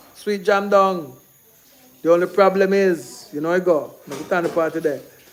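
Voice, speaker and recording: A man's high-pitched voice with ordinary pitch variation over noticeable background noise. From Jamaica. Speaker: Jamaican film producer and livestream host. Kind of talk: casual livestream talk. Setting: live stream. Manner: fast; animated.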